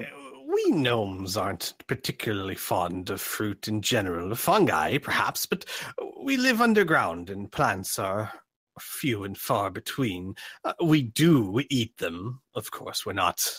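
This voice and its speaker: A man puts on a gruff character voice at a medium pitch and talks at a fairly slow pace. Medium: actual play. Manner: gruff, sailor-like, says 'aye'.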